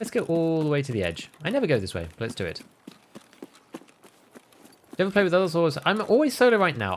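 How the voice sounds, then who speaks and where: A man with a West Midlands accent and very wide pitch swings. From England, West Midlands. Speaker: video game streamer. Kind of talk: casual livestream gaming commentary. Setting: livestream.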